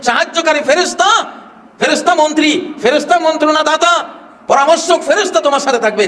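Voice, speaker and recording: Over noticeable background noise, a man speaks at an extremely high pitch in a passionate tone. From Bangladesh. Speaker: Islamic scholar delivering a sermon. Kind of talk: Islamic sermon (waz) to a crowd, political-religious commentary. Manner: forceful, passionate, rhetorical.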